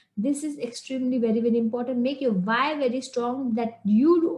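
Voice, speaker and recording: A woman with an Indian accent, high-pitched, at a moderate pace. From India, Shillong. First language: Hindi. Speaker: English communication coach. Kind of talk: online lesson. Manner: halting.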